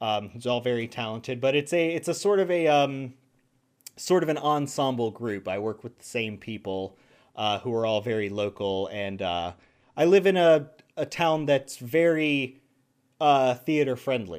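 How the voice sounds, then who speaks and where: In a very clean recording over a silent background, a man talks with an American accent at a medium pitch and a moderate pace. It is an ordinary speaking voice, with lively intonation. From US South. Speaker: voice actor. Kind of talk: casual interview.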